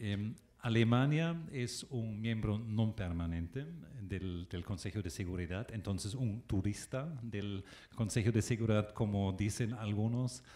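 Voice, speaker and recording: With a German accent, a man speaks fairly slowly in a fairly low voice with a dark, mellow tone and ordinary pitch variation. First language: German (speaking Spanish). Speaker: ambassador. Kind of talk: panel talk. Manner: halting, many fillers.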